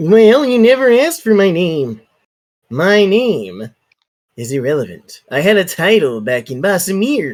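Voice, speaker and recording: Putting on a character voice, a man speaks at a moderate pace with a high pitch and very wide pitch swings. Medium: actual play. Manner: deadpan.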